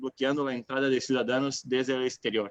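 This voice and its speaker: This man's medium-pitched voice has a dry, close sound with no echo. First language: Portuguese (speaking Spanish). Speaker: city councillor, panelist. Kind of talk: panel discussion, online event. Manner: halting, many filler sounds.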